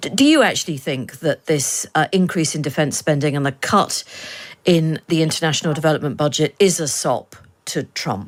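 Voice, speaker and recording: Her pitch very deep and low, a woman talks at a moderate pace. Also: ordinary pitch variation. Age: 60s. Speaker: radio presenter. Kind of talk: broadcast interview.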